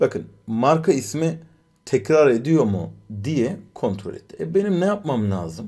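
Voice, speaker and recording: Somewhat breathy and fairly high, a man's voice moves at a very slow pace with very wide pitch swings and audible room echo. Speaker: programming instructor. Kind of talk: live coding lecture. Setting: live stream. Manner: many filler sounds.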